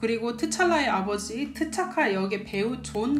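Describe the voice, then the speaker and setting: At a moderate pace and a fairly high pitch, a woman speaks with lively intonation amid noticeable background noise and audible room echo. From Korea. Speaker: YouTuber living abroad. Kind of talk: casual explainer video. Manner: casual, conversational.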